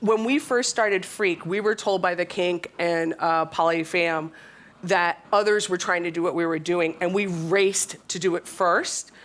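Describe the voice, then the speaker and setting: In an unremarkable speaking voice, a woman with an American accent keeps a moderate pace, using a fairly low pitch and fairly even intonation. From USA. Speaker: tech company co-founder, panelist. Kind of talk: panel discussion.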